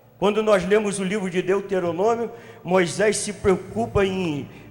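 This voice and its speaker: There is noticeable background noise and audible room echo. A man speaks at a high pitch with ordinary pitch variation. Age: 50s. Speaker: pastor. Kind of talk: sermon. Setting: church congress with audience.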